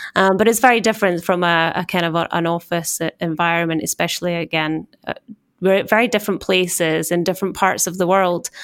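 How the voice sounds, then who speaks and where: A woman's fairly low voice at a very fast pace. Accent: Scottish. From Scotland. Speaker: corporate communications executive. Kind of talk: casual interview conversation. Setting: office in New York.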